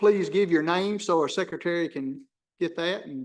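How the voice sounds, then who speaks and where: A man speaks with a Tennessee accent. His pitch is high. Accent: Southern US (Tennessee). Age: old. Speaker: planning commission chair. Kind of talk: public meeting. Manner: loud.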